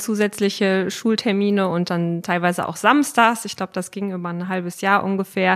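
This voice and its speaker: In a very clean recording with a silent background, a woman uses a normal speaking voice at a medium pitch and a moderate pace. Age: 30s. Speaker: newspaper page planner. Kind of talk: interview.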